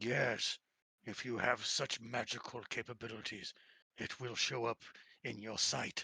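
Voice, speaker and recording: Using a put-on character voice, a man speaks raspy and monotone with flat intonation, at medium pitch and a moderate pace. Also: dry, close sound with no echo. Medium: actual play. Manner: formal, archaic phrasing.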